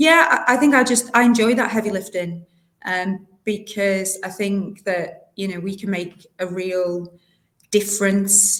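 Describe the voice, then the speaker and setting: This woman speaks with a northern English accent. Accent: non-local northern English, noticeable. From South Yorkshire, England (North Doncaster). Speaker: local government director. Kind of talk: interview. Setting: podcast.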